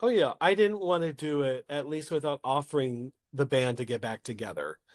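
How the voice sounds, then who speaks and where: In a dry, close recording with no echo and a quiet background, a man with an American accent talks at a moderate pace, his fairly high voice carrying lively intonation. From Oklahoma, US. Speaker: playwright and solo performer. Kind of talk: podcast interview. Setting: podcast.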